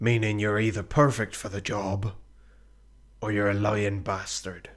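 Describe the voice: A man puts on a gruff character voice with a fairly low pitch. He talks at a moderate pace with monotone, flat intonation.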